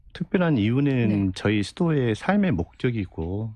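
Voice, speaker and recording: Over a quiet background, a man with a fairly low pitch speaks at a fairly slow pace with lively intonation, the sound dry with no echo. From rural South Korea. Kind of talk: radio interview. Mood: calm, earnest explanation. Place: studio. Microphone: studio mic.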